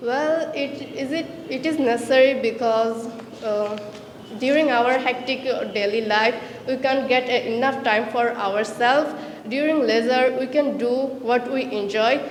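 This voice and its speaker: A woman with a high pitch talks at a fairly slow pace with fairly even intonation. Audible room echo and noticeable background noise are present. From Bangladesh, Chattogram. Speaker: language student. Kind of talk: practice interview. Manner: halting, with fillers.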